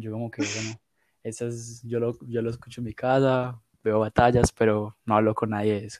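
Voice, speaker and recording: In a dry, close sound with no echo, a man speaks at a medium pitch with monotone, flat intonation. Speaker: podcast host. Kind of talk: casual chat.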